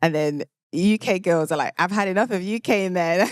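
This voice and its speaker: A woman with a British accent speaks with lively intonation. The sound is dry and close, with no echo. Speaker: podcast host. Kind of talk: casual monologue. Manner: animated.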